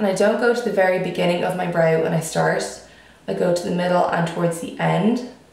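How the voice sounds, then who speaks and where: A woman with a fairly low pitch talks at a very fast pace. Audible room echo and noticeable background noise fill the recording. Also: ordinary pitch variation. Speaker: beauty vlogger. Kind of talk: makeup tutorial. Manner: casual chatty.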